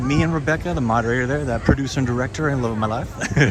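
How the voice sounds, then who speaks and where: With an American accent and ordinary pitch variation, the speaker comes through noticeable background noise and audible room echo. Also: man. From Southern California. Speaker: vlogger livestreaming a theme park. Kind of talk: casual live stream chat.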